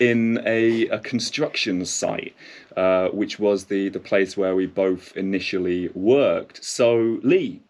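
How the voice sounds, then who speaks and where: A man speaks in a London accent at a very slow pace. The background is quiet. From London, England. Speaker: podcast host. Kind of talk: casual interview. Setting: studio.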